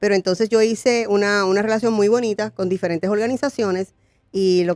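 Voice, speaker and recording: Medium pitch from a woman, a fairly quick pace, ordinary pitch variation, and a dry, close sound without echo. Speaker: pastor and congressional candidate. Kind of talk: interview testimony. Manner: fast.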